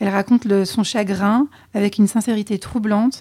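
A woman speaks at a fairly quick pace and a medium pitch with monotone, flat intonation. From French Alps. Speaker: podcast co-host. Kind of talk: casual chat.

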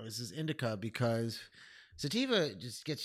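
In a very clean recording with a silent background, a man with an American accent speaks at a fairly slow pace, his medium-pitched voice showing vocal fry and very wide pitch swings. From upstate New York (Albany area). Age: 30s. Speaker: first grade teacher and comedian. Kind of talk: casual chat.

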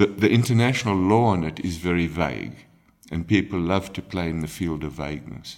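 A man speaks at a very deep, low pitch with ordinary pitch variation. His pace is fairly quick. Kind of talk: interview. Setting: guesthouse recording. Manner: hesitant, frequent ums.

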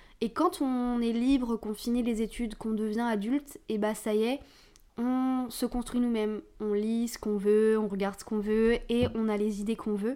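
Fairly even intonation comes with a dark, mellow tone. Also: woman. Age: 20s. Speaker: podcast host. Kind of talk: casual monologue. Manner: informal, hesitant with fillers.

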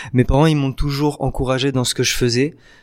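The speaker is male. He keeps his intonation flat and monotone. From southern France, Nice. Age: 20s. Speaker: actor and comedian. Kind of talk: casual interview.

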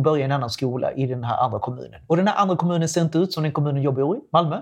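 The speaker is a man with a fairly high pitch. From Latin America. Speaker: sex educator. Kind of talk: casual chat.

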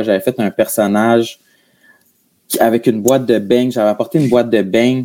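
Speaking with a Gaspésie accent, a man uses a dark, mellow tone, fairly even intonation and a moderate pace. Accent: Quebec French, Gaspésie. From Quebec, Gaspésie. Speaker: comedian and podcaster. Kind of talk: casual interview chat. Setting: video call.

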